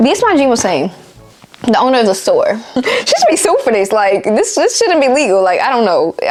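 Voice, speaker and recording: Over noticeable background noise, a woman talks at a fairly quick pace in a high voice with very wide pitch swings. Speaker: YouTuber. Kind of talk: storytime monologue. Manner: fast; animated.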